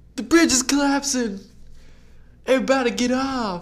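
A man puts on a shrill character voice at an extremely high pitch, talking at a moderate pace. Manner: urgent, alarmed.

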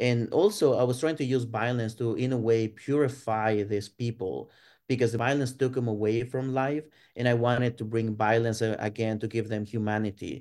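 A man with a Spanish accent speaks at a medium pitch and a moderate pace. His intonation stays fairly even against a quiet background. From Mexico, Ciudad Juarez. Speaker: art professor. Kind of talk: interview.

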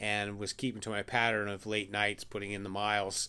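A man speaks in a fairly low pitch with a bright, sharp tone. The recording is very clean, with a silent background. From United States. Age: 50s. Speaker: ultramarathon runner and podcaster. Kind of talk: casual monologue. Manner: hesitant, with many fillers.

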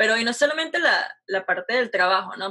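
A woman speaks with lively intonation. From Venezuela, Caracas. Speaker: aerospace engineering student. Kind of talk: casual interview.

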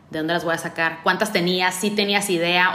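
Her voice sits at a medium pitch with fairly even intonation. A woman speaks in an ordinary speaking voice. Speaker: podcast host. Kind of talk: casual interview; monologue to listeners.

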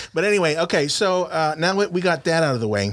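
A man talks at a very fast pace in an American accent. His intonation is lively. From South Texas (Rio Grande Valley). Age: 40s. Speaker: sports podcast host. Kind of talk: casual sports talk show. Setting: studio, live-streamed.

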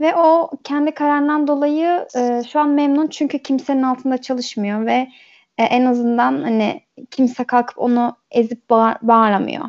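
A woman speaks at a moderate pace with a high pitch. Her pitch varies in an ordinary way. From Turkey (born in Germany, moved at age 8). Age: 20s. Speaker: podcast guest. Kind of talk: casual chat.

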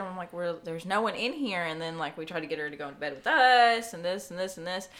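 A woman talks very fast with lively intonation. Her voice carries audible room echo. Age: 20s. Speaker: podcast guest sharing life story. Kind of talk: casual chat.

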